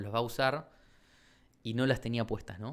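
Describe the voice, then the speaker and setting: A man's medium-pitched voice. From Argentina, Chaco province. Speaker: shoe brand founder and architect. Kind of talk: interview.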